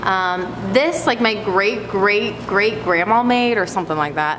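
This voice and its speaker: The speaker talks at a moderate pace. Background noise is noticeable. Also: woman. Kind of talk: casual vlog chat. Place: shop. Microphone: phone near.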